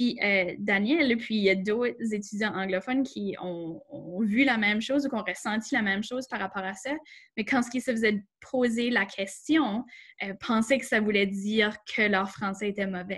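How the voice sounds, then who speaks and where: A woman with an ordinary speaking voice and a fairly high pitch talks at a moderate pace with ordinary pitch variation on a very clean recording with a silent background. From Acadia, southeast New Brunswick. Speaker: workshop host. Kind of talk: panel discussion.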